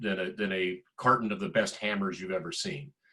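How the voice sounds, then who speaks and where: With an American accent, a man uses a plain, everyday voice at a moderate pace with ordinary pitch variation. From US South, middle Georgia. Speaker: tech executive. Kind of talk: panel discussion.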